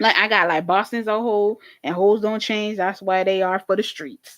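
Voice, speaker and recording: Recorded very cleanly against a silent background, a woman talks at a moderate pace with a medium pitch and ordinary pitch variation. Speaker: YouTube reaction channel host. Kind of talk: live stream casual recap. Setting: live stream on camera. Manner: animated.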